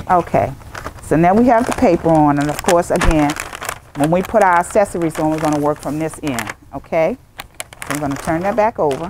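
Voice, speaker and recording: A woman speaks at a fairly quick pace with fairly low pitch and lively intonation. The sound is dry with no echo, though background noise is noticeable. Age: 60s. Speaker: senior center coordinator; site coordinator demonstrating. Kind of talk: tutorial. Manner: casual, repetitive. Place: meeting room. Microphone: lapel.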